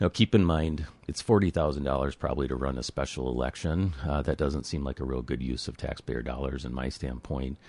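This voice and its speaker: This man has a very deep, low pitch with vocal fry and ordinary pitch variation. He talks at a fairly quick pace with hardly any pauses against a quiet background. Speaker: city administrator. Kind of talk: radio interview. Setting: studio.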